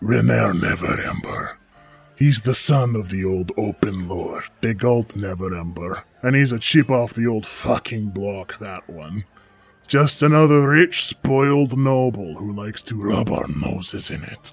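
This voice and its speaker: Over faint background music, a man in a put-on character voice sounds strained at a fairly low pitch. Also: moderate pace. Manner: smug, sardonic, wheedling.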